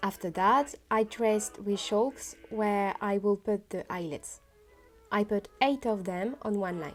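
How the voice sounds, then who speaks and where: A woman with a French accent at a medium pitch and fairly slow pace, ordinary pitch variation, music in the background. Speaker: costume maker. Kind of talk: sewing vlog narration.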